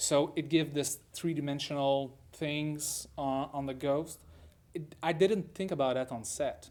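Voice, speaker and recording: With a French Canadian accent, the speaker talks at a fairly slow pace and with fairly even intonation. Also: man, fairly high pitch for a man. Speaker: film director. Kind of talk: interview. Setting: film festival. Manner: halting, with many repetitions.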